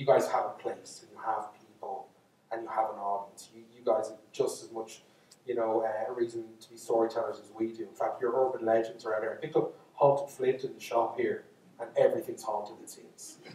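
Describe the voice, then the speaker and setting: A man with a Dublin accent talks at a fairly quick pace. His loudness swings widely. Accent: Irish (Dublin). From Ireland. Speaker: storyteller. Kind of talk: storytelling lecture to live audience. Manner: casual, unscripted, with false starts.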